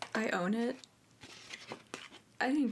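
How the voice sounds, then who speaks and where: Soft-spoken and fairly high in pitch, a woman talks at a moderate pace over noticeable background noise. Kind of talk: ASMR soft-spoken show and tell.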